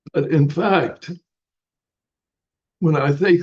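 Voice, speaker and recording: A man's somewhat breathy voice moves along at a fairly slow speed. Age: 80s+. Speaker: Buddhist teacher. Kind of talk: dharma talk.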